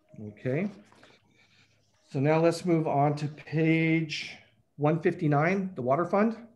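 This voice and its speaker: Amid audible room echo, the speech moves at a very slow pace with long, frequent pauses and ordinary pitch variation. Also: man, fairly high pitch for a man. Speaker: city finance official presenting budget. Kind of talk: budget presentation at council meeting.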